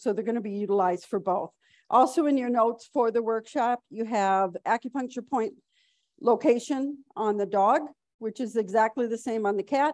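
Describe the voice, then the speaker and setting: Heard in a dry, close recording with no echo, a woman has a plain, everyday voice, fairly high in pitch, with ordinary pitch variation and a moderate pace. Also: quiet background. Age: 60s. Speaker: veterinarian and conference speaker. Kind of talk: conference lecture.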